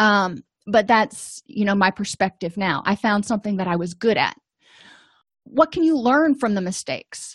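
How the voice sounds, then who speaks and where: The woman's somewhat breathy voice has a medium pitch and lively intonation at a moderate pace. The background is quiet, and the sound is dry and close with no echo. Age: 40s. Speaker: therapist and educator. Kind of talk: lecture.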